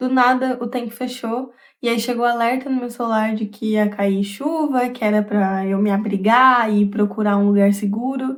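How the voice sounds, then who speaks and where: A normal speaking voice from a woman, fairly high in pitch, fairly even in intonation, at a moderate pace with hardly any pauses, on a very clean recording with a silent background. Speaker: vlogger. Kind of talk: casual vlog monologue. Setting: at home.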